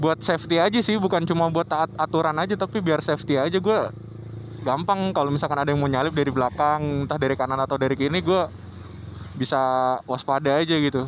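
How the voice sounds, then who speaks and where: At a very fast pace, a man with a fairly high pitch keeps very even loudness and ordinary pitch variation. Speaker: motovlogger. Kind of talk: casual riding vlog commentary. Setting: riding a motorbike in traffic. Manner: slightly stumbling speech.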